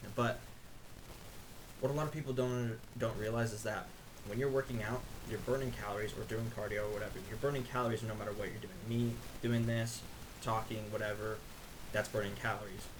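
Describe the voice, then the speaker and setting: A man speaks at a medium pitch in a monotone, flat intonation, at a fairly quick pace yet with long, frequent pauses. Room echo is audible, along with noticeable background noise. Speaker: fitness youtuber. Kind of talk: casual explainer monologue. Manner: fast.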